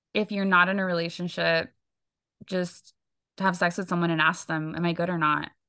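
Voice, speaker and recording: Against a quiet background, a woman with a fairly low pitch talks at a fairly quick pace in a monotone, flat intonation, with long, frequent pauses. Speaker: podcast co-host. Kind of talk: casual chat.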